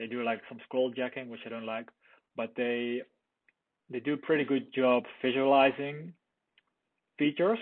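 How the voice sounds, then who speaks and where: Speaking with a non-native accent, a man keeps a moderate pace broken by long, frequent pauses. His medium pitch shows ordinary variation, and his loudness swings widely. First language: not English. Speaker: product reviewer. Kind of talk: casual commentary. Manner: halting.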